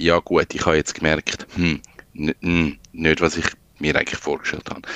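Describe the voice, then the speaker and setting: Dry and close with no echo, the sound captures a man talking. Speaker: freelance digital designer. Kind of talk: casual chat.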